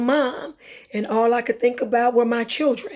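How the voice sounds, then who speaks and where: Her tone dark and mellow, a woman speaks at a fairly high pitch and a moderate pace. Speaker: vlogger and cancer survivor. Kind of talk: personal testimony. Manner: halting, many fillers.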